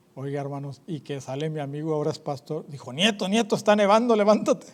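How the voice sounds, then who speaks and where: Pitch varies in an ordinary way as the speech runs at a fairly quick pace. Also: man. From northern Mexico. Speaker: evangelist preacher. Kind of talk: sermon. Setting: church. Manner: animated.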